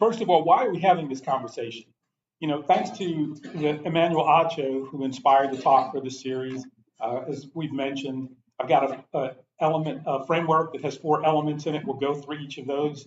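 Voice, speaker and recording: With an unremarkable speaking voice, a man talks fairly quickly at a fairly high pitch, with ordinary pitch variation and big swings in loudness. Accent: American. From New York City. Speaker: pastor giving a talk on race. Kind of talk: lecture. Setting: church adult forum with audience.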